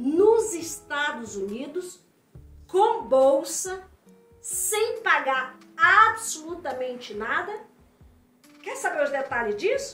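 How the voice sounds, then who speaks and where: Over music in the background, a woman with an extremely high pitch projects a raised voice at a very slow pace, her pitch swinging very widely between long, frequent pauses. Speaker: interviewer. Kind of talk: casual talk to camera. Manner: upbeat.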